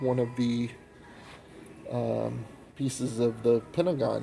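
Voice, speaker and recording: A man with an American accent, speaking at a very slow pace over music in the background. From Oklahoma, Tulsa. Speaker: first amendment auditor, video blogger. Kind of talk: walking vlog narration. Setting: inside an airport, filming.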